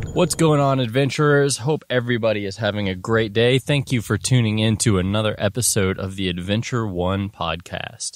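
A man talks at a moderate pace with hardly any pauses and ordinary pitch variation. The sound is dry with no echo. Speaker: podcast host. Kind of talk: casual podcast monologue. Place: open country.

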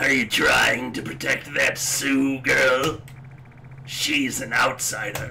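A man puts on a character voice at a medium pitch, raspy and very slow. Background noise is clearly audible.

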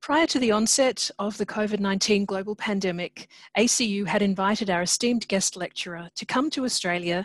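A woman speaks at a moderate pace with ordinary pitch variation. The background is quiet and the sound is dry with no echo. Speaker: host introducing a lecture. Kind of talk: formal welcome and introduction. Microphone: video call.

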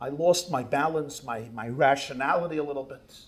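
A man at a moderate pace, fairly high in pitch and somewhat breathy. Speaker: rabbi. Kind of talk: sermon. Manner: animated. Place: hall. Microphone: podium.

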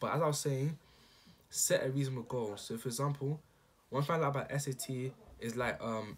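A man speaks with a somewhat breathy voice and ordinary pitch variation over light background noise. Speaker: student giving study advice. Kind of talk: casual talk to camera. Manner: unscripted, hesitant. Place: home room. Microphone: webcam.

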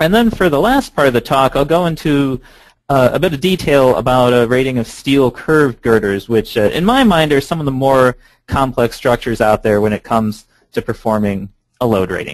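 Against a quiet background, a man talks at a fairly quick pace with lively intonation, the sound dry with no echo. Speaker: presenter. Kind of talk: lecture. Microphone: video call.

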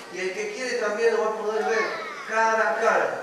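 A man speaks amid strong room echo and light background noise. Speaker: children's preacher. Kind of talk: sermon to children. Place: hall. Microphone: camera far.

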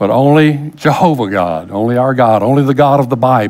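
A man talks at a moderate pace with a quiet background behind him. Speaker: pastor. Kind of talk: sermon. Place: church. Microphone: headset.

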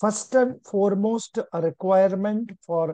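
Against a quiet background, a man speaks with ordinary pitch variation in a dry recording with no echo. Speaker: exam coaching teacher. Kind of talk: lecture. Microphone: video call.

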